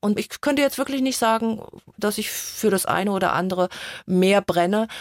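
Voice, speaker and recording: A woman with a plain, everyday voice speaks at a medium pitch with ordinary pitch variation. The sound is dry and close, with no echo. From Germany, Mainz. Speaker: coach and author. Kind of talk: radio interview.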